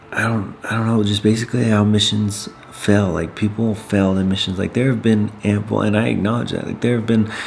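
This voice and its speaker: A man's fairly low voice with fairly even intonation, amid noticeable background noise and audible room echo. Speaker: missionary vlogger. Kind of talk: vlog monologue. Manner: halting.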